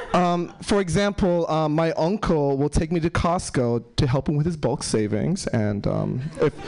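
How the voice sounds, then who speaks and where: Over noticeable background noise, a man with an American accent talks at a fairly slow pace with hardly any pauses, using lively intonation, a fairly high pitch and very even loudness. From New York City. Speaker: stand-up comedian. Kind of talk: stand-up comedy. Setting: stage with audience.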